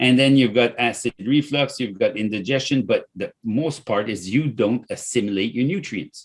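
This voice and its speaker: A man of medium pitch talks with a French accent and lively intonation at a moderate pace, on a very clean recording with a silent background. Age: 60s. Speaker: company founder and CEO. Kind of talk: podcast interview, product pitch. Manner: animated.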